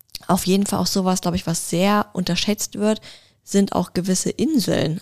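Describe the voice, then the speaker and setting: A woman with a normal speaking voice talks at a moderate pace and fairly low pitch, with fairly even intonation, in a dry, close sound with no echo. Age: young. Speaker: podcast co-host. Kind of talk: casual chat.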